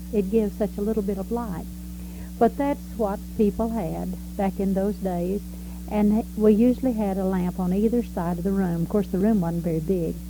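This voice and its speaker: A woman with a Texan accent talks at a moderate pace. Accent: Texan Southern American. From Texas. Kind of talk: life story recollection. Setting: home recording, variable quality.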